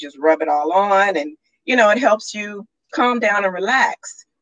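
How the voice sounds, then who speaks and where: Her intonation is full of life. This woman keeps a medium tempo. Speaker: radio show guest, entrepreneur. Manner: casual, conversational.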